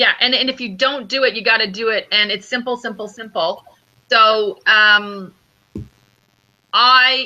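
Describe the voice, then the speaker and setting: A woman speaks loudly in a fairly high, bright, sharp voice with fairly even intonation and long, frequent pauses. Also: fairly slow pace. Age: 40s. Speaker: intuitive business coach. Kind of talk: interview conversation.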